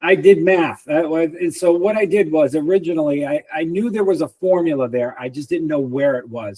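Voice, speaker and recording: A man at a fairly quick pace, high-pitched yet dark and mellow in tone, dry and close with no echo. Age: 60s. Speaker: personal trainer and author. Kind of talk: interview.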